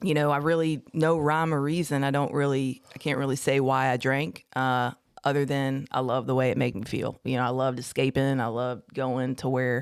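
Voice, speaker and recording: A woman's very deep, low pitch with an American accent and fairly even intonation, on a very clean recording with a silent background. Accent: Southern twang, slight drawl that comes out. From Houston, Texas. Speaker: recovering addict. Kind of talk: personal testimony. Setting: podcast studio.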